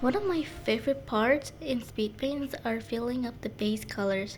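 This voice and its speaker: This woman's voice is high with lively intonation. She speaks at a fairly slow pace. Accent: non-native. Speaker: digital artist. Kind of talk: speed paint voiceover. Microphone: poor mic.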